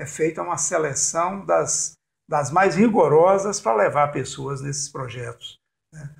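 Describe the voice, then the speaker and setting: On a very clean recording with a silent background, a man with vocal fry and a fairly high pitch talks at a fairly slow pace, with ordinary pitch variation and big swings in loudness. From Brazil, Jequitinhonha Valley, Minas Gerais. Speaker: cultural producer and storyteller. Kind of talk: interview.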